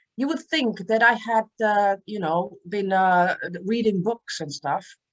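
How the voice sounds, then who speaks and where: Someone speaks at a fairly slow pace with a Czech accent. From Czech Republic. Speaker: author and transformational speaker. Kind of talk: interview.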